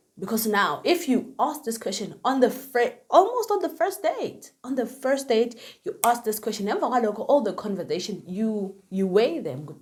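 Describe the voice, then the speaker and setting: This woman talks loudly at a moderate pace in a high pitch, with a Zulu accent. Her tone is bubbly and animated, with very wide pitch swings. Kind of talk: casual talk to camera. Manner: loud, bubbly.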